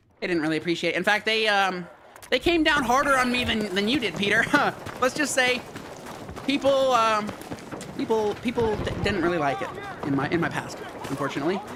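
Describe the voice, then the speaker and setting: A man speaks in a raised, projected voice with a high pitch and very wide pitch swings, leaving long, frequent pauses over noticeable background noise. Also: fairly quick pace. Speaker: gaming streamer. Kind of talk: live stream gameplay chat. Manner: fast; casual, repetitive.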